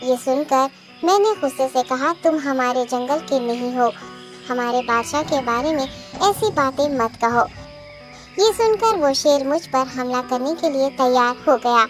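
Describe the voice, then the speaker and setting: A female-sounding cartoonish character voice moves at a moderate pace. Clear music plays in the background. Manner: deferential, respectful.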